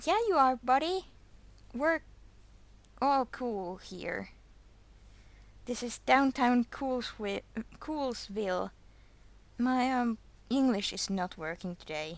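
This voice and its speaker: Very slowly and with long, frequent pauses, a woman speaks at a high pitch with very wide pitch swings. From Finland. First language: Finnish. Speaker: fan animator streamer. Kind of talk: casual livestream chat. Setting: livestream. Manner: halting, words blending together.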